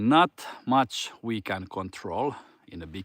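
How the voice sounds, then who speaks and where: Recorded dry and close without echo, a man with a Finnish accent speaks with very wide pitch swings. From Finland. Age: 40s. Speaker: fitness coach. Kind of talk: casual motivational talk. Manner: halting.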